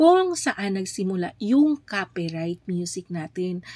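A woman speaks at a very slow pace with lively intonation and a medium pitch. The recording is very clean, with a silent background. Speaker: YouTube livestreamer. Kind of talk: tutorial. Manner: casual, filler-heavy with frequent 'ayan'.

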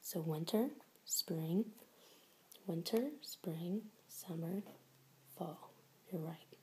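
A soft-spoken, gentle tone at a very slow pace over light background noise. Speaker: teacher or tutor. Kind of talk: tutoring session questions to a child. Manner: soft, gentle low-volume teacher voice. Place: home room. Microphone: phone near.

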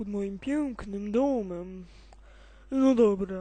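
A cartoonish character voice, female-sounding and fairly high-pitched, at a very slow pace. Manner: whiny, grumbling.

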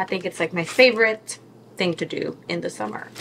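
A fairly low-pitched woman's voice at a moderate pace, with noticeable background noise. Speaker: vlogger. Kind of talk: casual vlog chat. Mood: cheerful, relaxed. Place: kitchen. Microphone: phone near.

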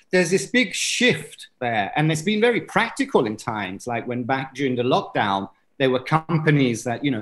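Speaking at a moderate pace, a man is heard. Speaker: conference presenter. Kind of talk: lecture. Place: home room. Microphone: webcam.

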